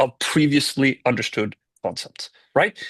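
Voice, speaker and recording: This man has a Swedish accent and a fairly high pitch. The sound is dry and close, without echo. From Sweden. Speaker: tech company founder and CEO. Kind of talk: podcast interview.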